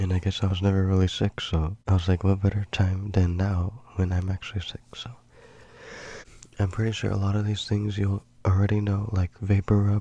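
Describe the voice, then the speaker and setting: Soft-spoken and somewhat breathy, a man speaks at a moderate pace in a fairly low pitch, his dark, mellow tone held in a monotone, flat intonation. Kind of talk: soft-spoken ASMR.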